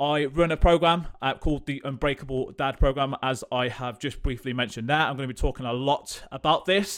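A man with a West Midlands accent talks in an energetic tone at a fairly high pitch and a fairly quick pace, with hardly any pauses. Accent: English Midlands (Coventry). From England, Coventry. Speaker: fitness coach and podcast host. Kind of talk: solo podcast monologue.

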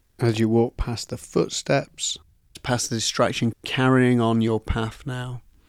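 Delivered at a fairly slow pace in a monotone, flat intonation, the soothing, calm voice sounds dry and close with no echo. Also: man, medium pitch for a man. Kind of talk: guided meditation. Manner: slow, soothing, calm, with soft pauses; gentle, hypnotic, encouraging.

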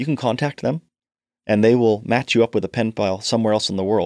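A man speaks in a plain, everyday voice at a fairly quick pace with ordinary pitch variation. The recording is very clean with a silent background, and the sound is dry and close with no echo. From Canada and northeast London. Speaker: charity foundation chair and financial planner. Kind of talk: interview.

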